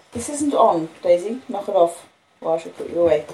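A woman talks over noticeable background noise. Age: 50s. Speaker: audiobook reader. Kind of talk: reading aloud.

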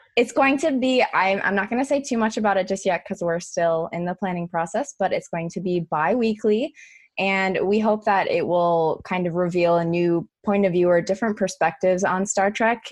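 A woman at medium pitch, moderate pace and ordinary pitch variation, with hardly any pauses and a quiet background. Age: 20s. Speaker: podcaster. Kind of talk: casual chat.

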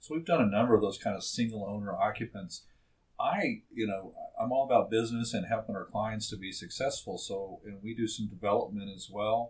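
With a Texan accent, a man speaks in a medium pitch that is somewhat breathy, with ordinary pitch variation and big swings in loudness. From Texas Panhandle (Amarillo). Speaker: medical construction contractor. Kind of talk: casual interview. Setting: studio. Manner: halting with many fillers and repetitions.

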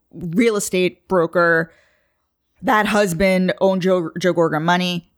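This woman has a New York accent and a medium-pitched voice. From Long Island, New York. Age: 30s. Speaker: podcast host guest. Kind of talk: casual chat.

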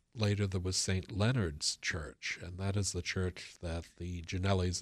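A man speaks with a very deep, low pitch and a somewhat breathy sound in an American accent against a quiet background. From Boston area, US. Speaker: local historian and author. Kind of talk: radio interview.

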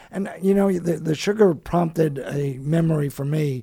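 With an American accent, a man speaks at a fairly slow pace in a fairly high voice and ordinary pitch variation. It is a plain, everyday voice. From United States. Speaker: radio host. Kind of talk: radio talk show.

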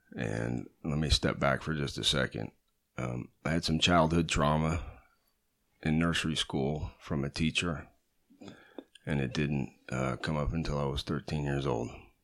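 A man speaks fairly slowly in a very deep, low voice with vocal fry and fairly even intonation. He leaves long, frequent pauses. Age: 40s. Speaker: guest. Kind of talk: testimony.

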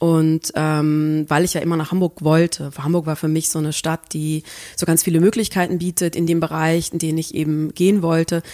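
A woman talks in a fairly low pitch with a dark, mellow tone and flat, monotone intonation. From southern Germany, Swabia near Tübingen. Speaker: PR consultant and activist. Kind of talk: interview.

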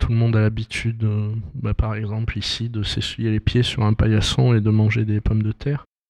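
Moderate pace from a man at medium pitch, in a dry, close sound with no echo. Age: 50s. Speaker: visual artist. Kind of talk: interview. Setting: exhibition opening.

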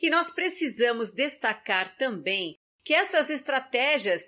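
In a very clean recording with a silent background, a woman uses a raised, projected voice with a bright, sharp tone, very wide pitch swings and a fairly slow pace. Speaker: podcast host. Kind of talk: scripted health podcast talk.

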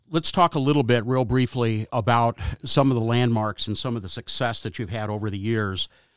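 This is a normal speaking voice delivered at a fairly quick pace. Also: man, medium pitch for a man, ordinary pitch variation, dry, close sound with no echo. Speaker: auto auction TV commentator and co-host. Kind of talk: interview.

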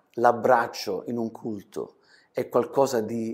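A man speaks very slowly in a dark, mellow tone, on a very clean recording with a silent background. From southern Italy, Calabria (Crotone); later Germany. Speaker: pastor. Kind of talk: interview testimony. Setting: studio.

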